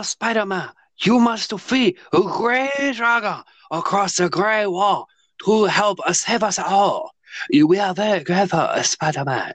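A man's put-on character voice, high in pitch and fairly slow. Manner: mocking, joking.

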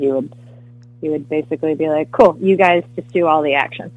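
With music in the background, a woman talks at a very fast pace. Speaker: actress. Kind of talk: casual interview.

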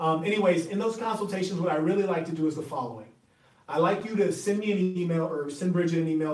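A man with an American accent talks at a fairly quick pace in a high voice with ordinary pitch variation, over noticeable background noise. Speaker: relationship coach and podcaster. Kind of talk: monologue advice talk.

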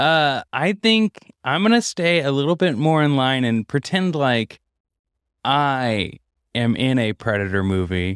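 Over a silent background in a very clean recording, a man with a normal speaking voice talks at a fairly slow pace, his medium pitch carrying lively intonation. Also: dry, close sound with no echo. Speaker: podcast host. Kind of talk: casual chat. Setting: home office.

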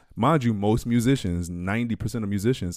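A man with an American accent has an unremarkable speaking voice and fairly low pitch. He talks at a fairly quick pace with ordinary pitch variation. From New York and New Orleans. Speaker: drummer and music producer. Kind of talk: casual chat.

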